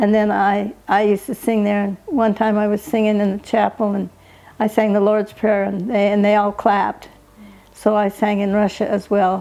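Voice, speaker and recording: With an American accent, a woman speaks in a dark, mellow tone and monotone, flat intonation. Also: medium pitch for a woman, moderate pace. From Utah, US. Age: 80s+. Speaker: elderly interviewee sharing life story. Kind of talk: family oral history interview. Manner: halting.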